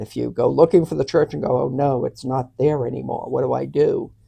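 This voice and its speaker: A woman with a Boston accent at a fairly quick pace, with hardly any pauses. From Boston, Massachusetts. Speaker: annulment advisor. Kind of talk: interview.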